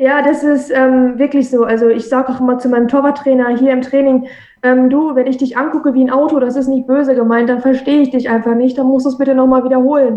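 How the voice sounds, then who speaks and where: A woman talks at a very fast pace in a high pitch. Her intonation is monotone and flat, and her loudness stays very even. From Minden, East Westphalia, Germany. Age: 20s. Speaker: professional football goalkeeper. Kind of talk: interview. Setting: video call.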